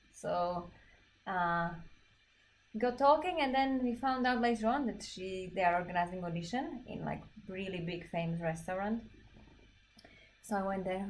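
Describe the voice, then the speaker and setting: Audible room echo surrounds a woman with a Slovak accent speaking at a moderate pace and medium pitch, with ordinary pitch variation. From Slovakia. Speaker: belly dance teacher and performer. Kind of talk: casual chat during a livestreamed dance class. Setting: livestream.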